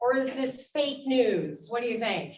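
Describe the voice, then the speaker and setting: A loud, animated woman with an American accent, high in pitch, at a fairly slow pace amid audible room echo. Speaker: biology instructor and guest speaker. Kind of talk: lecture.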